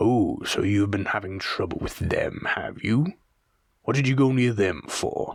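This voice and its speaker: A man puts on a gruff, growling character voice at medium pitch. He speaks at a moderate pace. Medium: read story. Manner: blunt, gruff.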